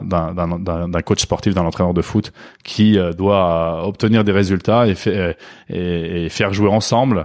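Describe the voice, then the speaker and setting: The recording is very clean, with a silent background. A man speaks fairly slowly with a very deep, low pitch. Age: 40s. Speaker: founder of a networking club. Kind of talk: interview. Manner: hesitant, repeats words.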